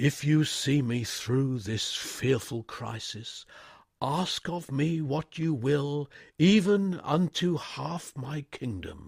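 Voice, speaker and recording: A man does a shaky, put-on character voice at a fairly high pitch and a very slow pace, in a very clean recording with a silent background. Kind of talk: formal upper-class. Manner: dramatic, pleading, grandiose.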